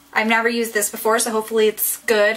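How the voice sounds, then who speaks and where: A woman with a fairly high pitch speaks at a very fast pace. Noticeable background noise runs underneath. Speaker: beauty vlogger. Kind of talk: tutorial. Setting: bathroom at home. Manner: casual, hesitant with ums.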